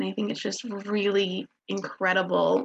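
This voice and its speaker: Vocal fry runs through this woman's medium-pitched voice, captured with a dry, close sound and no echo. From Kansas. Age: 20s. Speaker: online health community member. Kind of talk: casual chat.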